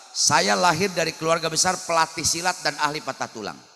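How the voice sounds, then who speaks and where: Music plays in the background as a man speaks. He sounds animated and moves at a fairly quick pace. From West Java, Sundanese (Cimande, Bogor). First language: Sundanese (speaking Indonesian). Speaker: Islamic preacher. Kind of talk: humorous sermon.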